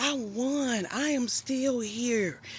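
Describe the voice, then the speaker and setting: Fairly high in pitch, this woman's voice is somewhat breathy. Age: 50s. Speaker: life coach and nurse. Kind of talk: casual live stream talk. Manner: animated.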